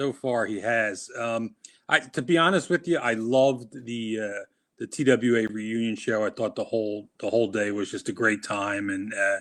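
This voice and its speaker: A man talks at a moderate pace with a medium pitch and ordinary pitch variation. The background is quiet. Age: 50s. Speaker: wrestling referee. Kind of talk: interview. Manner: halting.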